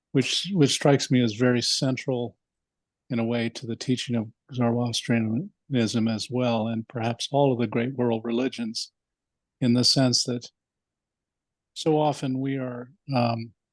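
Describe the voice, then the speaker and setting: A man of medium pitch speaks at a fairly slow pace, leaving long, frequent pauses. His intonation is fairly even, and the sound is dry and close with no echo. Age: 60s. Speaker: class participant. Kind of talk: class discussion comment.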